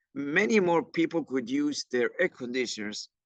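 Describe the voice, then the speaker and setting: A man's fairly high voice in an Argentine accent, with lively intonation at a very slow pace, dry and close with no echo. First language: Spanish. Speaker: climate educator. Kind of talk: workshop presentation. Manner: halting, with many fillers and restarts.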